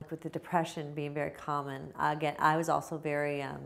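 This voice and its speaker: Her pitch is very deep and low for a woman, with vocal fry throughout. She talks at a fairly quick pace. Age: 40s. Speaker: stroke survivor and pharmacist. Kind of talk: testimony. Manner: halting.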